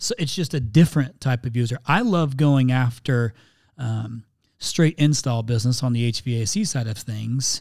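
In a normal speaking voice, a man with an American accent talks at medium pitch and a moderate pace, with ordinary pitch variation and a dry, close sound with no echo. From Indiana, US Midwest. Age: 40s. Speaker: marketing company CEO. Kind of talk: interview conversation. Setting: studio, remote recording.

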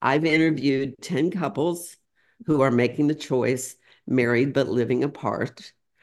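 A woman speaks in a very deep, low voice with ordinary pitch variation. The background is quiet. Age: 70s. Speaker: author and executive coach. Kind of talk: casual interview chat.

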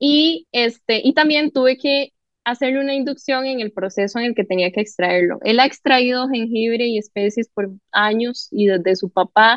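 A woman talks in a plain, everyday voice at a fairly high pitch. Her pace is moderate and her pitch variation ordinary. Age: 20s. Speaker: entrepreneur. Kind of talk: casual chat.

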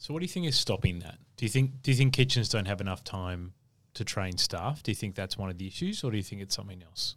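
Speaking very fast with lively intonation, a man with an Australian accent has a fairly low pitch. The recording is very clean, with a silent background. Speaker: podcast host and hospitality consultant. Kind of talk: interview.

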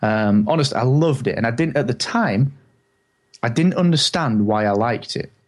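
In an English accent, a man speaks at medium pitch and a moderate pace, with ordinary pitch variation. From England. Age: 30s. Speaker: podcaster. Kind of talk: interview.

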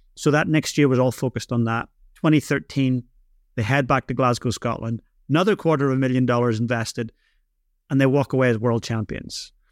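With a Northern Irish accent, the speaker talks at a fairly quick pace with fairly even intonation, in a dry, close sound with no echo. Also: man, medium pitch for a man. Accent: Northern Irish, noticeable. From Northern Ireland. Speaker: drumming instructor and business speaker. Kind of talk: casual interview. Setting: remote call from New Zealand.

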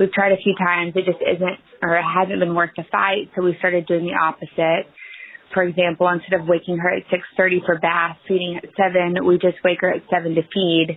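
A woman's fairly low-pitched voice in a monotone, flat delivery, with noticeable background noise. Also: fairly quick pace. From East Texas. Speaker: parent asking a question. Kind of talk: recorded listener question.

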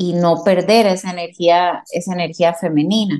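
Speaking with a Costa Rican accent, a woman uses a fairly low pitch and fairly even intonation at a fairly slow pace. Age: 40s. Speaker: dentist. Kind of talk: interview.

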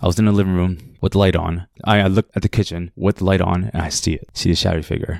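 Very deep, low male voice with a Cambodian accent, very fast, with fairly even intonation, in a dry, close sound with no echo and a very clean, silent background. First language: Khmer. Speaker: listener sharing a paranormal story. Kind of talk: personal storytelling. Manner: halting.

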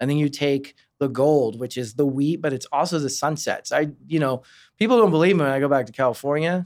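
With a plain, everyday voice, a man speaks at a fairly quick pace and a fairly high pitch, with ordinary pitch variation, on a very clean recording with a silent background. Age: 30s. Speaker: baseball team fan experience director. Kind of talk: casual interview. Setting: studio.

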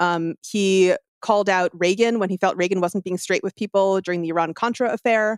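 A woman with a plain, everyday voice and fairly even intonation, on a very clean recording with a silent background. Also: medium pitch for a woman, dry, close sound with no echo. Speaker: author and podcast host. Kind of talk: interview conversation.

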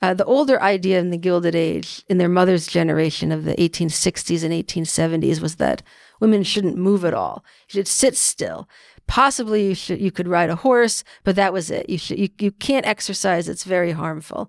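In a normal speaking voice, a woman with an American accent talks at a fairly low pitch with ordinary pitch variation. The recording is very clean and dry, close with no echo, and the background is silent. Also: fairly quick pace. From New York City. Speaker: author and local historian. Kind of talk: interview.

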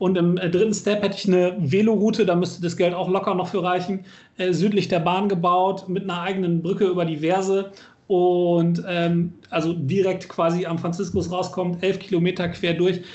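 In a room with audible echo, a man with a high pitch speaks at a moderate pace in a monotone, flat intonation. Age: 30s. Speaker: local politician, podcast co-host. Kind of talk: casual chat.

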